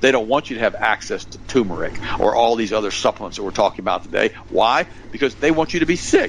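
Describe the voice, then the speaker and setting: Noticeable background noise sits under a man's medium-pitched voice as he speaks at a fairly quick pace with lively intonation. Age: 60s. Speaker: health and nutrition expert. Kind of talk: interview.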